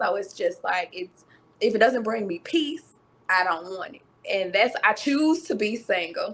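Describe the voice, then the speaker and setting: Using lively intonation, a woman speaks at a fairly slow pace with a fairly high pitch. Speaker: content creator. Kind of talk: podcast conversation. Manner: soft-spoken.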